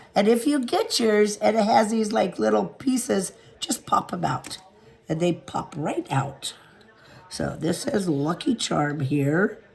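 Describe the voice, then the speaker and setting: Noticeable background noise sits behind the speaker. A woman speaks at a fairly slow pace. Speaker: crafter selling handmade pieces. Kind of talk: casual tutorial. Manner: casual, with fillers.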